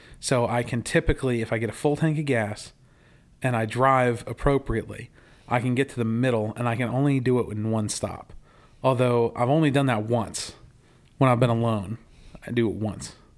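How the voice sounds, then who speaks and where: A man's normal speaking voice, medium in pitch, at a fairly quick pace with fairly even intonation. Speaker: podcast host. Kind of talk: casual chat. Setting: casual conversation while smoking cigars. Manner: friendly, conversational.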